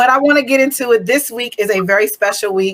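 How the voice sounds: A woman's fairly high voice at a fast pace, with ordinary pitch variation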